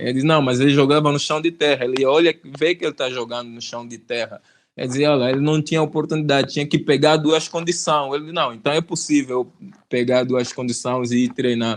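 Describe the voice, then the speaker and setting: Against a quiet background, a man with a plain, everyday voice speaks at a fairly quick pace, fairly high in pitch and with fairly even intonation. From Angola. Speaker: rapper, YouTuber. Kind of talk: interview answer.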